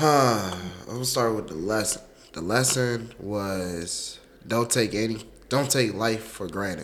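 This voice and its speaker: Speaking fairly slowly at a medium pitch with ordinary pitch variation, a man is heard over noticeable background noise and audible room echo. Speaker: college student. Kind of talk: casual interview. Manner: halting.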